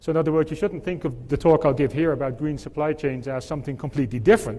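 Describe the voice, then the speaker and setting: A man speaks in a dark, mellow tone at a very fast pace. His pitch variation is ordinary. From mixed: Britain, Netherlands, France, Tennessee. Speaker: conference speaker, supply chain academic. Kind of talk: conference keynote. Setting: stage with audience.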